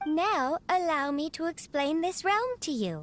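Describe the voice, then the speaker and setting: This speaker uses a put-on character voice. The delivery comes at a fairly slow pace. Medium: video game. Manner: formal, polite, precise.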